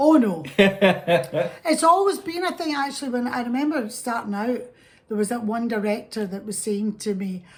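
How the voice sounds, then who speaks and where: Talking at a moderate pace, a woman uses a fairly high pitch and very wide pitch swings. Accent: Scottish. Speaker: actress. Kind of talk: interview answer.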